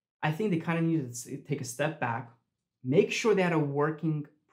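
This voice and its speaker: A man's somewhat breathy voice sits against a quiet background. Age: 30s. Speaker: crypto YouTuber. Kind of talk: video commentary. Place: home room.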